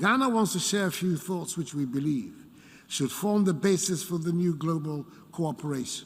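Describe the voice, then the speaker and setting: Here a man speaks with a high pitch and lively intonation. His pace is moderate. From Ghana. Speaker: head of state. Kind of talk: formal speech to international assembly. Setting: large assembly hall.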